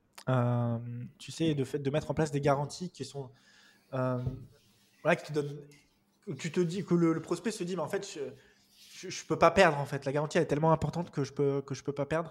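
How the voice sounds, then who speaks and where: A somewhat breathy man at a fairly high pitch and moderate pace, with ordinary pitch variation, big swings in loudness and long, frequent pauses. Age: 30s. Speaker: online course entrepreneur. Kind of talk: interview. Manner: hesitant, repetitive fillers.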